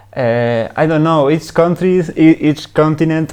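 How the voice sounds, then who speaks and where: With a Spanish accent, a man speaks at a very slow pace and with ordinary pitch variation. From Uruguay. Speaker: long-distance cycle tourer. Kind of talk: casual interview. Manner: halting.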